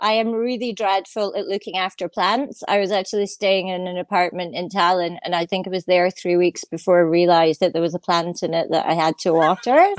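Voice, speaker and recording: A woman with a Scottish accent speaks at medium pitch and a fairly quick pace, with hardly any pauses. The sound is dry and close, with no echo. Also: ordinary pitch variation. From Scotland. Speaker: guest co-host, tech writer. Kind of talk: casual chat.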